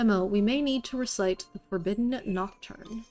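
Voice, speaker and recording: Using a put-on character voice, a woman speaks in a shaky, fairly high pitch over faint music in the background. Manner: urgent, fearful.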